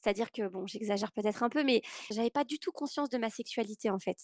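A woman's fairly high-pitched voice, an ordinary speaking voice, with ordinary pitch variation and a dry, close sound with no echo. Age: 30s. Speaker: podcast guest sharing personal story. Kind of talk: testimony.

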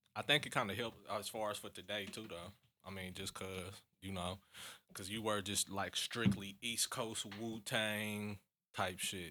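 On a very clean recording with a silent background, a man with an American accent speaks slowly-ish at a fairly low pitch, his tone bright and sharp and his intonation monotone and flat. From US Midwest. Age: 30s. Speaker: rapper. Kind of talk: casual chat.

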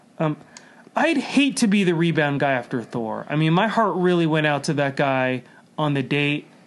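Noticeable background noise sits behind a man speaking at a moderate pace, his fairly high pitch carried by lively intonation. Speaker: comedian. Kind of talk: casual chat. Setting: studio.

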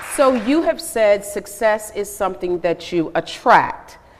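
This woman speaks with an American accent at a medium pitch. Her intonation is lively, and background noise is noticeable. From Atlanta, US South. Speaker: news reporter moderator. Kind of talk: moderated interview. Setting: stage with audience.

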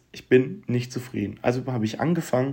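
The recording is very clean and its background silent. A man talks throughout. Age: 20s. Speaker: podcaster. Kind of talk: personal monologue. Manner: casual, colloquial.

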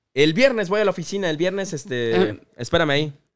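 A man's speech races along at a very fast clip, his pitch leaping up and down very widely, all captured in a very clean recording over a silent background. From Oaxaca, Mexico (Salina Cruz). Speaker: youtuber. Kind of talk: casual chat.

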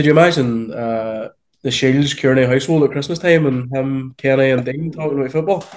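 With a Northern Irish accent, a man talks at a fairly quick pace in a fairly high pitch with ordinary pitch variation. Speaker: podcast co-host. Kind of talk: casual chat.

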